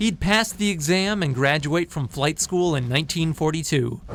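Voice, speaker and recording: Music plays in the background as a man speaks. His pitch is fairly high, with ordinary pitch variation. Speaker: TV news reporter. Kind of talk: TV news report narration.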